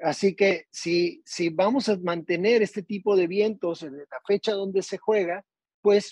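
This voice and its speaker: A man's high-pitched voice at a fairly slow pace, dry and close with no echo. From Tijuana, northern Mexico. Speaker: golf course architect. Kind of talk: casual interview.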